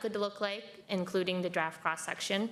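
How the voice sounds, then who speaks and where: The flat, monotone intonation comes through over noticeable background noise. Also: woman. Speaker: county transportation project staff. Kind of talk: presentation to a board meeting. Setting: public board meeting, hybrid.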